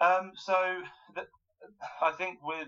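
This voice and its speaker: Speaking with a southern English accent, a man has a bright, sharp tone. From southern England, Wokingham in Berkshire. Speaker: Olympic judo athlete. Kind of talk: interview. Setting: internet call. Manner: halting, many fillers.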